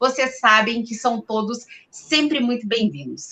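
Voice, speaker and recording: A woman speaks with a plain, everyday voice, fairly high in pitch. She goes at a fairly slow pace with ordinary pitch variation. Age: 40s. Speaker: journalist and show host. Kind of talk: live interview show.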